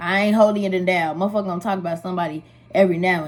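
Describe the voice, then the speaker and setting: Somewhat breathy, a woman talks at a very fast pace with ordinary pitch variation. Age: 20s. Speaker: makeup artist. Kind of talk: casual talk to camera.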